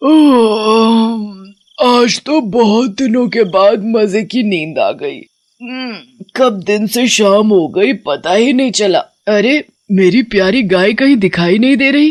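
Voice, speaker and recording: A cartoonish character voice with a fairly high pitch speaks at a fairly slow pace. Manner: talks to her cows affectionately.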